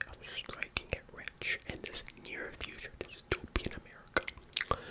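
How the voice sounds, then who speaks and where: A man whispering amid noticeable background noise. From Ontario, Canada. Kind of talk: ASMR book haul video, whispered talk to camera. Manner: whispering, soft-spoken, relaxing.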